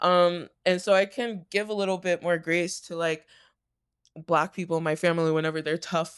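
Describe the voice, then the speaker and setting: Someone speaks with an American accent at a moderate pace. The background is quiet. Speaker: reaction channel co-host. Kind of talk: casual chat. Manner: animated.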